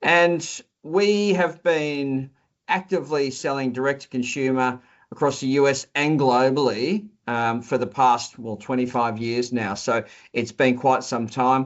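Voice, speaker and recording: At a fairly slow pace, a man with an Australian accent speaks at medium pitch with ordinary pitch variation. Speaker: company executive. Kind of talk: interview. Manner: halting, with frequent repetitions and fillers.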